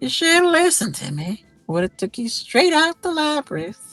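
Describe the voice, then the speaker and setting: In a put-on character voice with a high pitch, the speaker talks at a moderate pace over faint music in the background. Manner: murmuring, muttering.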